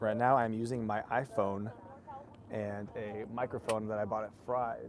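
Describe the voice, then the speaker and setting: A man speaks quietly at a fairly slow pace and medium pitch, in a monotone, flat intonation. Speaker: rowing race commentator. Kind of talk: live commentary. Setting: outdoors at a rowing course start line. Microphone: iPhone with cheap store-bought microphone.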